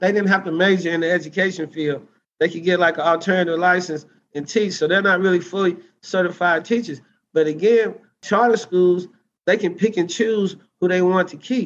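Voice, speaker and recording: A man with an Arkansas accent, high pitch, fairly even intonation and a fairly quick pace. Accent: Southern US (Arkansas). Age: 40s. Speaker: teacher and political candidate. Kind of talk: interview.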